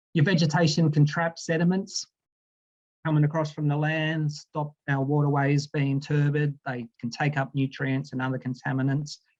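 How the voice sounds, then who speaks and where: In an Australian accent, a man talks with monotone, flat intonation, his voice somewhat breathy and fairly high. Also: moderate pace, dry, close sound with no echo. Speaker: aquatic scientist. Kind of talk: presentation. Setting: video call.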